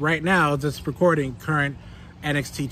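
A man at a fairly slow pace, dry sound with no echo, light background noise underneath. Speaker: toy channel host. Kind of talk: casual unboxing vlog chat. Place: garden. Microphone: phone near.

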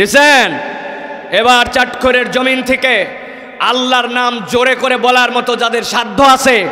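An extremely high-pitched, animated man's voice, raised and projected. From Bangladesh. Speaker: Islamic preacher; preacher. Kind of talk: sermon. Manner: animated, exhorting the crowd. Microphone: podium.

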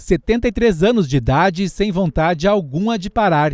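Lively intonation from a man with a high pitch, at a moderate pace, dry and close with no echo, on a very clean recording with a silent background. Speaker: radio news reporter. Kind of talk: news report narration.

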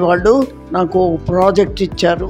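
Clear music plays in the background as a woman speaks at a medium pitch with ordinary pitch variation. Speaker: physics professor. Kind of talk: interview answer. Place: office. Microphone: lapel.

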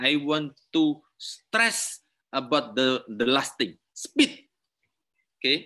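The background is quiet. A man speaks at a very slow pace. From Indonesia. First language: Indonesian. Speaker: university lecturer. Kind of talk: lecture.

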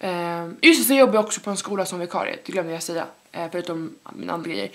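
The woman's pitch shifts in an ordinary way. She talks at a very fast pace. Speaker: YouTuber and student entrepreneur. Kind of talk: vlog. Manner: casual, many fillers. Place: home room. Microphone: camera far.

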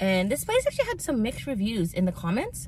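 Somewhat breathy, the woman's voice has a dry sound with no echo and light background noise. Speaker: food vlogger. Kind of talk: casual vlog chat. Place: car. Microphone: phone near.

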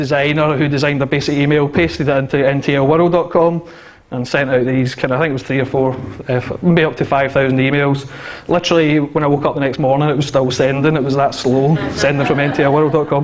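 Speaking at a fairly quick pace, a man keeps a monotone, flat intonation. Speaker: conference speaker. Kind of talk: conference talk. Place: hall. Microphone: handheld.

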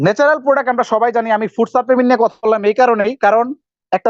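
A man speaks with a high pitch. His intonation is fairly even. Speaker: supplement distributor. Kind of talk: sales pitch.

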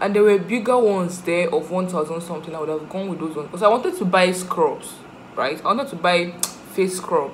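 Light background noise sits behind a woman speaking at a fairly quick pace with ordinary pitch variation. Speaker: vlogger. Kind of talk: casual vlog chat. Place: home room. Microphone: phone near.

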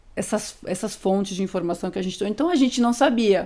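At a fairly quick pace, a woman speaks with a fairly high pitch and a dark, mellow tone. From Brazil, interior of São Paulo state (Amparo); São Paulo state, Brazil. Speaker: DJ; guest. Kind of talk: casual interview. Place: studio. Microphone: studio mic.

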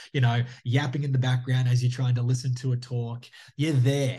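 Intonation stays monotone and flat as a man speaks. His pace is moderate. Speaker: guest. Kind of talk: interview answer. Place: home room. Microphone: video call.

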